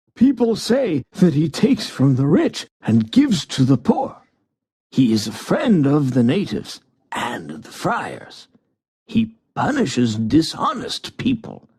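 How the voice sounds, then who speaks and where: In a put-on character voice, a man speaks fairly slowly at a fairly high pitch with very wide pitch swings. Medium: read story.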